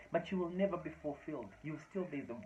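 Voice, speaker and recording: Speaking with a Zimbabwean accent, a man sounds animated, with ordinary pitch variation. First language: Shona. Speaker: motivational speaker. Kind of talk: motivational talk to camera.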